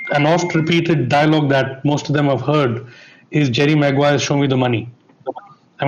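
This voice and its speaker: With noticeable background noise, a man speaks at a fairly quick pace using fairly even intonation. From India. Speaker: broadcast technology executive. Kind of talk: panel discussion.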